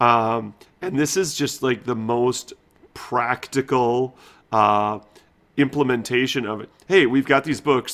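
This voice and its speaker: Pitch varies in an ordinary way in an unremarkable speaking voice. Delivery is fairly slow. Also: man, medium pitch for a man. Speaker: book collector. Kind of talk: casual chat.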